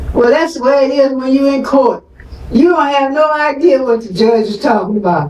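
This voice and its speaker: A woman's high voice at a moderate pace, with ordinary pitch variation and noticeable background noise. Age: 90s. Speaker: activist mother of an incarcerated man. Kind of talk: speech at a community forum.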